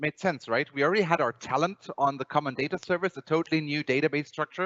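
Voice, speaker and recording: Speaking very fast with lively intonation, a man with a Bavarian accent has a fairly high pitch. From Germany, Bavaria. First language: German. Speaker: software company presenter. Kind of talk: conference presentation. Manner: halting, many repetitions.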